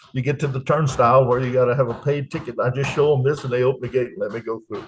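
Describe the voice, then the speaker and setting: A man with a Louisiana accent talks at a very fast pace and a medium pitch, his intonation fairly even. Noticeable background noise runs behind him. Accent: US Southern (Louisiana). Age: 70s. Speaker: retired expat, Air Force veteran. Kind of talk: interview.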